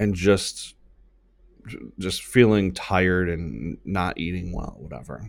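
A man with a very deep, low pitch and vocal fry talks at a very slow pace, with ordinary pitch variation and big swings in loudness, on a very clean recording with a silent background. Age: 30s. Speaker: podcast host and marketing business owner. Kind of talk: solo podcast monologue; motivational talk.

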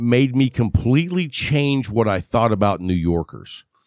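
A man talks with an American accent at medium pitch. His intonation is lively. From West Texas. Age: 50s. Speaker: cigar show host. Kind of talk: casual chat. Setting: home studio, video. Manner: joking, sarcastic.

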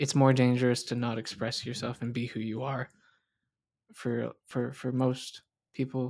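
On a very clean recording with a silent background, a man with an American accent and medium pitch talks at a moderate pace with long, frequent pauses. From US South. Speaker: podcast co-host. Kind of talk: casual chat.

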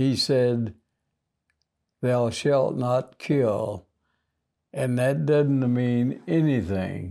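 A man speaks very slowly in a Southern US accent, with long, frequent pauses and very even loudness. His tone is dark and mellow, his pitch variation ordinary, and the recording very clean with a silent background. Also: medium pitch for a man. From US South, Mississippi. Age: 80s+. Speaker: war veteran. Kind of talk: casual chat.

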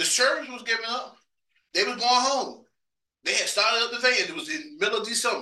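A man with an American accent talks at a very fast pace in an extremely high pitch with ordinary pitch variation. His voice is raised and projected, with a bright, sharp tone. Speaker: preacher. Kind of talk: testimony-laden sermon, recounting seeking the Holy Ghost. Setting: church. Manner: fervent, repetitive storytelling with stammered emphasis; conversational and self-joking, with laughter.

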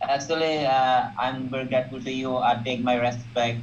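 Audible room echo fills the recording. The delivery is moderate in pace, with monotone, flat intonation. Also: man. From Bangladesh. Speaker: student asking questions. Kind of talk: live Q&A question. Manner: halting, many fillers.

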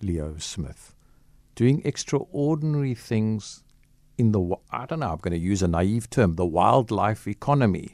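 A man with lively intonation at a moderate pace, in a very clean recording against a silent background. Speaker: radio host. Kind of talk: radio interview. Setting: radio studio. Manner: animated, chatty.

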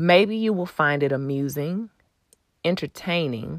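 Her voice fairly low, a woman with a Texan accent speaks with ordinary pitch variation in a dry, close sound with no echo. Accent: Texan American English. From Texas, Houston. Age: 30s. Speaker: podcast host. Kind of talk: personal storytelling monologue; subscribe appeal.

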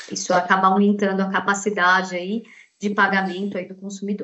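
A woman's voice at a medium pitch, at a moderate pace. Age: 40s. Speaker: banking sales manager. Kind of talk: interview.

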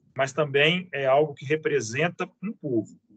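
The voice has a bright, sharp tone and lively intonation, moving at a fairly slow pace. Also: man. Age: 40s. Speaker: teacher and antiques dealer. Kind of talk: casual interview.

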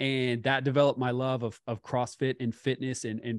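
With an American accent and a normal speaking voice, a man talks at a moderate pace and a medium pitch in a dry, close sound with no echo over a quiet background. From California. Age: 30s. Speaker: fit model and business coach. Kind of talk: casual interview.

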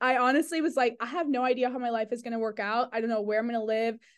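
Set against a quiet background, a woman with an American accent has a plain, everyday voice, fairly high in pitch with ordinary pitch variation. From US. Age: 20s. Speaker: cybersecurity privacy manager. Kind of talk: interview.

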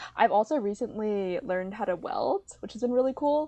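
Her fairly high voice has a dark, mellow tone and an American accent, and this woman uses ordinary pitch variation. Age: young adult, 19. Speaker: college student, art history major. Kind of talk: casual interview chat. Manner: animated, lots of filler words and laughs.

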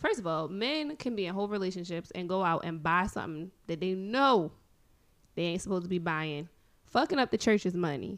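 In an unremarkable speaking voice, a woman talks at a fairly quick pace and medium pitch with lively intonation. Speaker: guest co-talker. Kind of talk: casual banter debate.

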